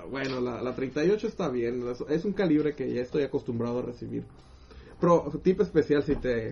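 This speaker talks at a moderate pace with a Mexican accent. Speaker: podcast co-host. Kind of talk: casual chat. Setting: live stream.

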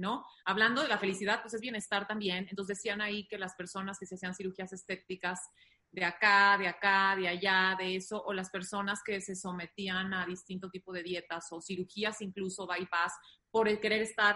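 At a fairly quick pace, a woman of medium pitch speaks in a monotone, flat way with a bright, sharp tone. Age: 30s. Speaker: doctor and nutritionist. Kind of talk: casual chat. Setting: video call.

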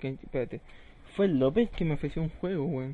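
In a Chilean accent, a man speaks at a very fast pace and a fairly high pitch. His tone is dark and mellow, with ordinary pitch variation. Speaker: gaming podcast host. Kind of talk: casual chat. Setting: live stream.

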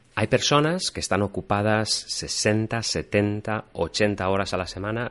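Over a quiet background, a man speaks at a fairly low pitch with ordinary pitch variation. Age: 30s. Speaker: podcast host. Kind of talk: reflective monologue. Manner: intimate, reflective.

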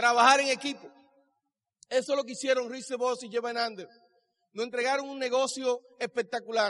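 Pitched extremely high, a man speaks in an animated tone at a moderate pace. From Dominican Republic. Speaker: business speaker. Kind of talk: motivational speech. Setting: stage with audience.

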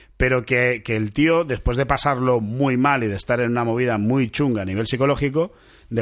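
Here a man talks at a moderate pace in an unremarkable speaking voice. His pitch varies in an ordinary way. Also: quiet background. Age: 30s. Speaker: podcast host. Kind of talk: casual chat.

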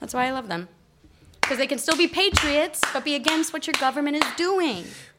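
In a General American accent, a woman with a high pitch speaks with lively intonation and long, frequent pauses amid noticeable background noise. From Colorado, US. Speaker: comedian. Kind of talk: casual chat.

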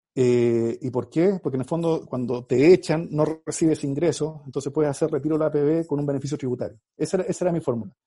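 A man with a fairly high pitch and a dark, mellow tone talks at a very fast pace with hardly any pauses. His pitch varies in an ordinary way. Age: 40s. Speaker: marketing agency founder and MBA professor. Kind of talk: interview. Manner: halting, many repetitions.

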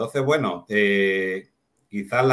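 Fairly even intonation and a fairly low pitch in a man's normal speaking voice. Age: 60s. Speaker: network marketing distributor, former teacher. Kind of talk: casual chat.

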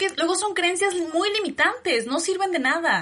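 Lively intonation in a woman's raised, projected voice. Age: 30s. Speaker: podcast host, women's empowerment coach. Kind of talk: casual chat.

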